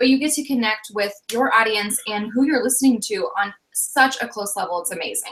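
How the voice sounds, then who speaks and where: Energetic and fairly quick, a woman talks at a fairly high pitch with ordinary pitch variation and hardly any pauses. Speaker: online business coach. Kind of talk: live webinar discussion. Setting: live video broadcast. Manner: fast.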